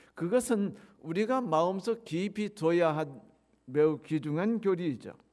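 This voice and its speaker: This man's voice sits high in pitch, with lively intonation. He speaks at a fairly slow pace. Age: 60s. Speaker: pastor. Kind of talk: sermon.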